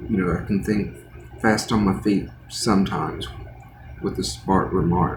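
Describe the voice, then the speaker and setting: This man's pitch is very deep and low, his intonation lively and his loudness very even. Noticeable background noise and an audible room echo surround him. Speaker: art livestreamer. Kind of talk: casual chat while painting. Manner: halting.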